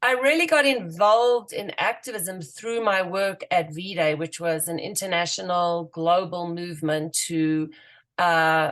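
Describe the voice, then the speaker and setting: A woman with a South African accent speaks at a fairly slow pace in a fairly low pitch, with ordinary pitch variation against a quiet background. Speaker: activist and writer. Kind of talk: radio interview. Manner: hesitant, many fillers.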